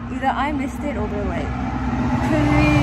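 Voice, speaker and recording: The speaker is a woman. Loud background noise fills the clip. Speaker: student vlogger. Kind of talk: casual vlog chat. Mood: sleepy, mildly anxious about bus. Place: street. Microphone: phone near.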